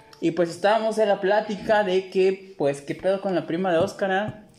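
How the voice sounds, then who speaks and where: There is noticeable background noise behind a man's voice. He speaks with a high pitch at a moderate pace. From Mexico, Tepic. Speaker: podcast host. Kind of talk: casual chat.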